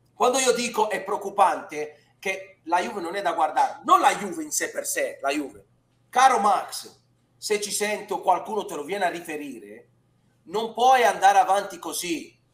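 The voice moves at a moderate pace with big swings in loudness. Audible room echo surrounds it. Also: man. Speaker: football pundit. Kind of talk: commentary. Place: home room. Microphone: headset.

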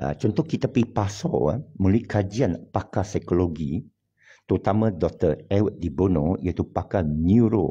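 A man with a Hokkien accent speaks at a fairly slow pace in a fairly low, dark, mellow voice that is somewhat breathy. His intonation is lively, and the background is quiet. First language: Hokkien Chinese (speaking Malay). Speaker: online religious commentator. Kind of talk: monologue. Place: home room. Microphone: phone near.

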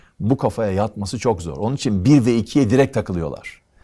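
Against a quiet background, a man with a fairly low pitch and a dark, mellow tone talks at a fairly quick pace with lively intonation. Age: 60s. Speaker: economist; guest. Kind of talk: interview conversation; interview answer. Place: studio.

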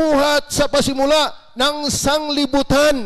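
A man speaks at a very slow pace with an extremely high pitch and fairly even intonation. The background is quiet. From Batangas, Philippines. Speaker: pastor. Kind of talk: sermon. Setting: church. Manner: fervent, urgent preaching with rhetorical questions. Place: church. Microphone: handheld.

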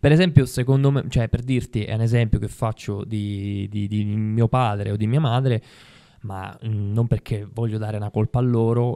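Over a quiet background, a man with a dark, mellow tone talks at a moderate pace with fairly even intonation. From Sicily (Ribera); Sicily. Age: 30s. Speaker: actor. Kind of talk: casual interview chat. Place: studio. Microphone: studio mic.

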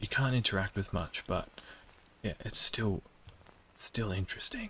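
At a moderate pace, a man speaks in a whisper. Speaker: gaming YouTuber. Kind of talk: let's play commentary. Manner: hushed, trying to speak quietly. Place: home room.

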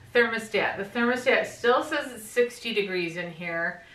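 A woman is speaking with ordinary pitch variation. Her voice carries an audible room echo. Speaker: home vlogger. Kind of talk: casual vlog chat. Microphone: camera far.

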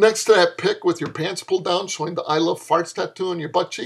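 The background stays quiet. A man talks at a fairly quick clip. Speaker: author reading own fiction. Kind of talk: comedic flash fiction reading with dialogue. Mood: sarcastic, lecturing tone. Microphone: webcam.

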